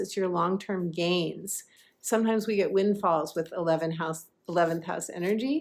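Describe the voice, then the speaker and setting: A woman speaks in a plain, everyday voice at a moderate pace with ordinary pitch variation. The recording is very clean, with a silent background. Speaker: intuitive astrologer and life coach. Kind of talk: astrology forecast with card reading.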